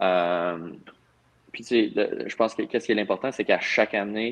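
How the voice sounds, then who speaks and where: A man with a fairly low voice talks at a fairly slow speed. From Val-d'Or, Quebec. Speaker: professional hockey player. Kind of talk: casual interview.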